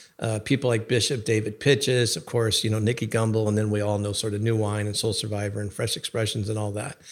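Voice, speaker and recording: Speaking very fast with hardly any pauses, a man keeps a monotone, flat intonation at a fairly low pitch. The recording is very clean, with a silent background. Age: 60s. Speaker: bishop. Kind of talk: casual chat.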